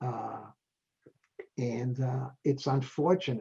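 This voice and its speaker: Somewhat breathy and dark, mellow in tone, a man speaks at a fairly high pitch with fairly even intonation. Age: 80s+. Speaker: retired dentist and public health expert. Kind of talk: interview.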